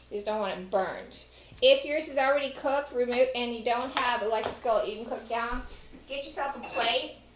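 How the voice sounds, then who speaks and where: Speaking with a Texas accent, a woman talks at a fairly quick pace in a high pitch with ordinary pitch variation and big swings in loudness. Audible room echo and noticeable background noise surround her. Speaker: home cook and former caterer. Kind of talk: cooking tutorial. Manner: casual, chatty.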